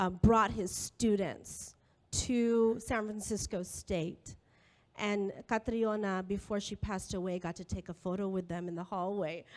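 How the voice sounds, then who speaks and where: A woman with an unremarkable speaking voice talks at a fairly slow pace and medium pitch. Her intonation is fairly even, and the recording is very clean with a silent background. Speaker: professor. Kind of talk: public talk. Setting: school hall with audience.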